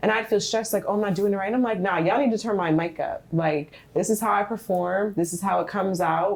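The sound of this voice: A soft-spoken woman at medium pitch with vocal fry, ordinary pitch variation and a fairly quick pace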